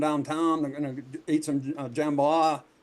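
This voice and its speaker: A man speaks in a Southern US accent. His pitch is fairly high. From US South, Louisiana. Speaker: podcast host. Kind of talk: casual chat. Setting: livestream.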